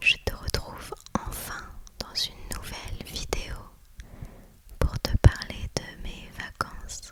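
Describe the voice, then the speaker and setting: The speaker is a woman, and she whispers. There is noticeable background noise. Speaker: ASMR creator. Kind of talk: ASMR vacation chat. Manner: whispered.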